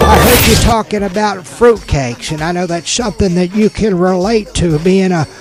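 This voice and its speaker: High-pitched male voice with ordinary pitch variation, moderate pace and hardly any pauses, music in the background. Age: 80s. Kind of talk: casual radio banter.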